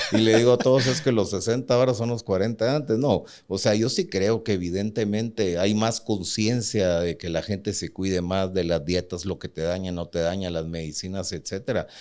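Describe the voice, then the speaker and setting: On a very clean recording with a silent background, a man talks fairly quickly in a normal speaking voice, fairly low in pitch with ordinary pitch variation. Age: 60s. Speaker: bank CEO. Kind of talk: interview.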